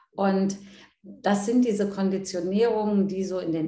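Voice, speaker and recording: Somewhat breathy, a woman's medium-pitched voice has a dark, mellow tone, with audible room echo. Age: 50s. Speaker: coach and seminar leader. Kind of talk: interview.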